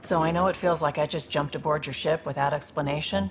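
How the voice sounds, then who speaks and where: A put-on character voice, raspy and middle-pitched, races along at a very fast pace. Clear background noise runs underneath. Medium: video game. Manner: earnest, fast-talking.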